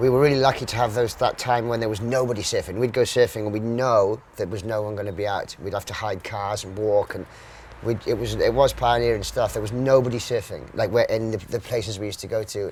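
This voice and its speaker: A man with a South Welsh accent speaks at a very fast pace and a medium pitch. His intonation stays fairly even over noticeable background noise. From Wales, Mumbles (Swansea area). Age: 40s. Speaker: professional surfer. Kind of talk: casual interview.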